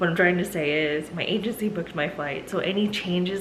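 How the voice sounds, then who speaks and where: With noticeable background noise and room echo, a woman speaks fairly quickly at a fairly low pitch and fairly even intonation. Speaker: travel respiratory therapist and vlogger. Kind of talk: casual vlog. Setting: airport and rental car.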